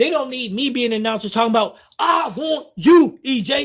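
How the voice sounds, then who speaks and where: Animated in tone, a man talks at a fairly quick pace with very wide pitch swings. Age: 50s. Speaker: bowling streamer. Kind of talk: casual chat.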